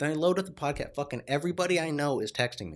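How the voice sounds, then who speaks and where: A man speaks at a very fast pace. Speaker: solo podcast host. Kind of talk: casual monologue. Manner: casual, profane.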